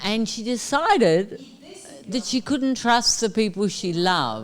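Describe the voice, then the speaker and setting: Over noticeable background noise, a woman with a fairly high voice talks at a fairly slow pace with lively intonation. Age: 60s. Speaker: spiritual teacher. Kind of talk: question and answer session. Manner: informal.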